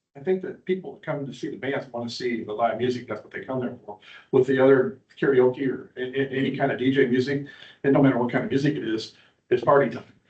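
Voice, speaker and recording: A man with an American accent, medium-pitched and somewhat breathy, at a very fast pace, with ordinary pitch variation and big swings in loudness. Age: 60s. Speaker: bar owner. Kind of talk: public hearing testimony. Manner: halting.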